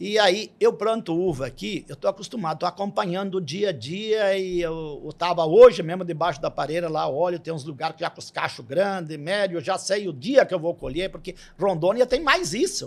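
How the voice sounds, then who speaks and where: A man with a southern Brazilian accent speaks in a high pitch with big swings in loudness. He hardly pauses at all. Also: ordinary pitch variation, moderate pace. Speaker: grape farmer. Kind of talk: podcast interview. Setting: studio. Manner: repetitive, halting.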